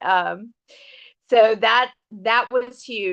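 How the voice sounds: Medium pitch for a woman, her tone bright and sharp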